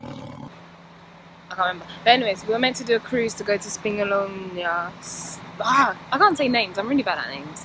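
A woman is speaking. The sound is dry with no echo, though background noise is noticeable. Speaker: travel vlogger. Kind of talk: casual vlog chat. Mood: annoyed but upbeat. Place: street. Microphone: phone near.

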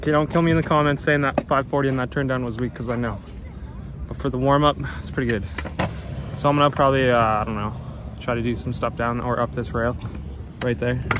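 A man speaks at a very fast pace with long, frequent pauses, medium in pitch and with ordinary pitch variation. The sound is dry with no echo, over noticeable background noise. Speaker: BMX rider vlogger. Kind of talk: casual vlog. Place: open country. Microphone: phone near.

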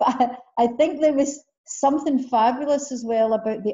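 Against a quiet background, a woman with a Scottish accent talks at a moderate pace with ordinary pitch variation. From Scotland. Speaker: interviewer. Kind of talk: interview question. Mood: warm, enthusiastic. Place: home room. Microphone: video call.

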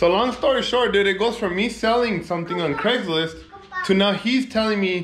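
The man talks at a moderate pace while faint music runs in the background. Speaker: car vlogger. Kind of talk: casual vlog chat. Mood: amused, laughing. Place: garage. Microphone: phone near.

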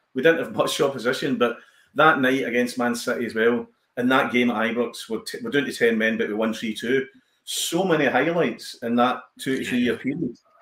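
A man with a Glaswegian accent at medium pitch, fairly quick, with ordinary pitch variation, a quiet background and audible room echo. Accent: Glaswegian Scottish. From Glasgow, East End; Glasgow. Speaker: comedian and actor; comedian, actor. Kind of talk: casual chat. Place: home room.

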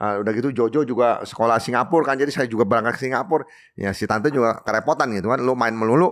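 Over a quiet background, a man rattles along at a very fast pace with hardly any pauses. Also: ordinary pitch variation. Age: 60s. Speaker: coffee shop owner; podcast guest. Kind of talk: casual interview. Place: studio. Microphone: studio mic.

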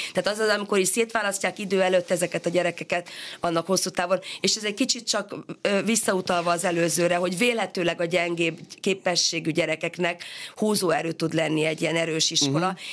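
In an unremarkable speaking voice, a woman talks fairly quickly at a fairly low pitch with fairly even intonation. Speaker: education researcher and sociologist. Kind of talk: radio interview.

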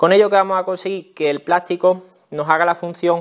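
A man speaks with a Spanish accent against a quiet background. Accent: Peninsular Spanish. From Spain. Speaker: tool review YouTuber. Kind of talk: product review tutorial. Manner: casual, explanatory. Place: workshop.

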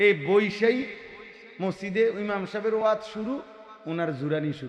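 Noticeable noise sits in the background. A man speaks over it with ordinary pitch variation. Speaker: Islamic preacher. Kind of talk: sermon. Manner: animated.

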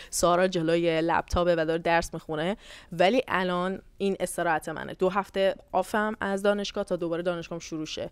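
Recorded dry with no echo, a woman talks at a moderate pace with a fairly low pitch and monotone, flat intonation. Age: 20s. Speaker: YouTuber and university student; YouTuber. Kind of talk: casual Q&A vlog. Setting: hotel room on vacation. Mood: candid, reflective. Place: home room. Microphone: lapel.

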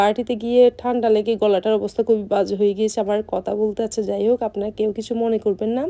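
Her voice sits at a fairly high pitch for a woman, with a dark, mellow tone and monotone, flat intonation. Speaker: vlogger. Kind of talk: casual vlog narration.

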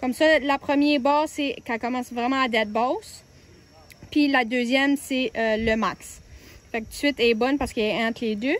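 A woman's high-pitched voice with fairly even intonation and a dry sound with no echo. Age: 20s. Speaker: car maintenance tips presenter. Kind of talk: casual how-to talk to camera. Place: street. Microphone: phone near.

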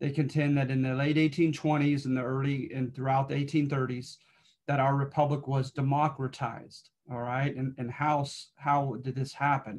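With flat, monotone intonation, a man speaks at a moderate pace in a somewhat breathy voice. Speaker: history instructor. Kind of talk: lecture. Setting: video call. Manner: halting, many filler words. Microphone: webcam.

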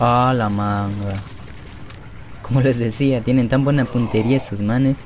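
Over noticeable background noise, a man at a medium pitch talks at a fairly slow pace, leaving long, frequent pauses. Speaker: gaming youtuber. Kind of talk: gameplay commentary. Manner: animated.

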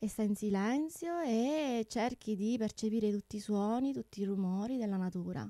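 Her voice is fairly high yet dark and mellow, with lively intonation at a fairly slow pace. The woman's recording sounds dry with no echo, and the background is quiet. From Sicily, Tortorici. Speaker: opera soprano and music teacher. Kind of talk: radio interview. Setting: radio studio. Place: studio. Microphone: studio mic.

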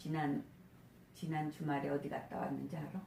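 Noticeable background noise is present. The delivery is fairly slow. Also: woman. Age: old. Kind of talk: casual chat between friends.

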